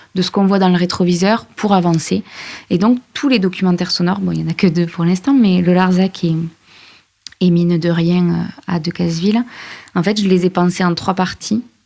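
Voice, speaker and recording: This woman has a plain, everyday voice, fairly low in pitch, speaking at a moderate pace with fairly even intonation. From France, Aveyron. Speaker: journalist and podcast creator. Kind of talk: interview.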